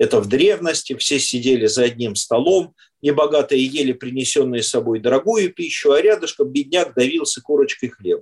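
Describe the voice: Speaking at a fairly quick pace, a man uses lively intonation with a slightly husky edge. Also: medium pitch for a man.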